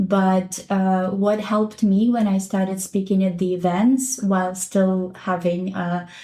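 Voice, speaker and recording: Somewhat breathy, a woman's voice carries a dark, mellow tone. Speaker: teacher and educational consultant. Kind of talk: podcast interview. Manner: slight stutter, past stutter mostly gone.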